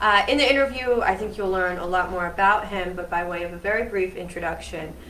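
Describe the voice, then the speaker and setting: Over noticeable background noise and audible room echo, a woman talks fairly quickly at a medium pitch. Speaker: student interviewer. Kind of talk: event introduction and interview. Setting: live event with audience. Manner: loud projecting voice; hesitant with fillers.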